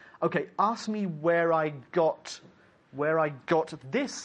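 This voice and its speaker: A high-pitched man with an English accent, at a very slow pace, with lively intonation and very even loudness, over a quiet background. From England. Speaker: English teacher. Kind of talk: lecture.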